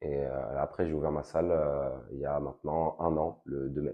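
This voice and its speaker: A man's very deep, low pitch in a monotone, flat delivery at a fairly slow pace. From Paris suburbs, France (Val-de-Marne). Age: 20s. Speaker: fitness coach and gym owner. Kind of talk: interview. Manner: hesitant, many fillers.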